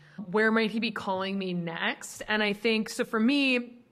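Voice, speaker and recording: This woman speaks with an Upper Midwest US accent. Her voice is fairly high, with ordinary pitch variation. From Minnesota, Twin Cities. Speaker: ministry leader. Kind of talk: podcast interview.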